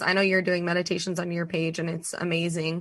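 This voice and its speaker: A woman's fairly low voice at a very fast pace. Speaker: podcast host guest. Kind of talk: casual chat. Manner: animated.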